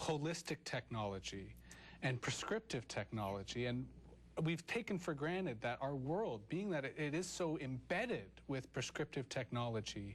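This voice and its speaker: A man speaks at a moderate pace with a medium pitch. His voice is somewhat breathy, and his intonation is lively. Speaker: talk show host. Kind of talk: interview questions.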